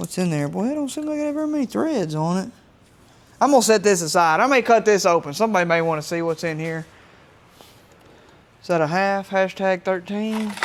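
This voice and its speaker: A man mumbles at a fairly high pitch with lively intonation, moving at a fairly quick pace. He leaves long, frequent pauses. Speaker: DIY mechanic YouTuber. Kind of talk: casual work narration. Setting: home workshop. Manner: mumbling.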